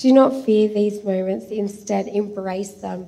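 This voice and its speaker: A woman speaks with an Australian accent. Her pace is fairly slow. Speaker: church member giving testimony; speaker. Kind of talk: reading aloud a prophetic message; testimony. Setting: church. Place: church. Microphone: handheld.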